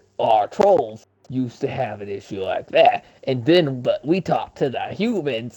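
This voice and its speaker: A man drawls through a put-on character voice. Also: fairly high pitch for a man, moderate pace. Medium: read story. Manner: folksy, drawling.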